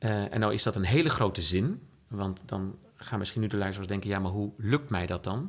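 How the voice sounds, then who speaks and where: A man's fairly low pitch in a normal speaking voice, with ordinary pitch variation at a moderate pace, on a very clean recording with a silent background. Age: 50s. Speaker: entrepreneur. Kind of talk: interview. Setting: at the guest's home.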